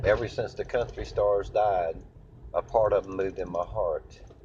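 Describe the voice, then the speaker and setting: The man speaks in a Southern US accent. He keeps to a moderate tempo. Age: 60s. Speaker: impersonator of country singers. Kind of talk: casual monologue to camera. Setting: in a car.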